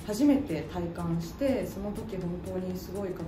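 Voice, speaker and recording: Noticeable background noise sits behind a woman speaking at a fairly low pitch. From Osaka. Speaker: voice actor. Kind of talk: self-introduction interview answer. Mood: cheerful, friendly. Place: studio.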